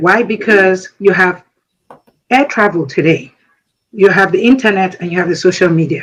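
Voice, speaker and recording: The speaker talks at a moderate pace with a Nigerian accent. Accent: Nigerian Igbo English. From Nigeria, Igbo. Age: 60s. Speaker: military veteran. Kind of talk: speech.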